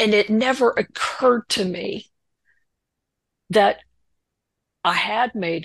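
A woman with vocal fry talks at a very slow pace and uses ordinary pitch variation. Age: 60s. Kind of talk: testimony. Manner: halting.

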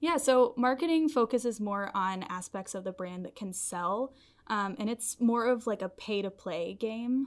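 With a slight Southern US accent, a woman speaks at a moderate pace with lively intonation on a very clean recording with a silent background. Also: fairly high pitch for a woman. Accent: general American, little Southern. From Nashville, Tennessee. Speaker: copywriter. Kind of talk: casual interview chat.

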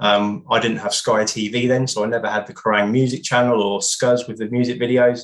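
A man speaks with a British accent at a medium pitch and a fairly quick pace. His intonation is monotone and flat, with hardly any pauses. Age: 30s. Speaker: music journalist and author. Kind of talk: casual interview.

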